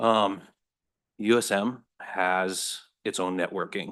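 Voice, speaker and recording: In a quiet background, a man speaks with a very deep, low pitch and fairly even intonation. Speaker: student and army veteran. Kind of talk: testimony. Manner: fast; halting, many fillers.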